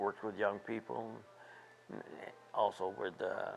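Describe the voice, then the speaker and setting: A man with an American accent at a very slow pace. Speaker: war veteran and retired teacher. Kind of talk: interview answer.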